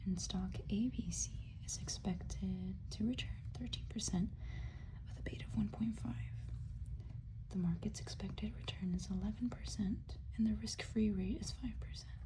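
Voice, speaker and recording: Soft-spoken whispering moves at a moderate pace over noticeable background noise. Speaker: college student studying investments. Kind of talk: casual ASMR study-with-me talk to camera. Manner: soft-spoken, whispery.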